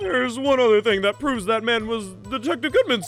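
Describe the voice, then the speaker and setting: Over clear background music, a put-on character voice at a fairly high pitch races along at a very fast pace. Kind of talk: courtroom speech. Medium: game stream. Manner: dramatic reading of game text.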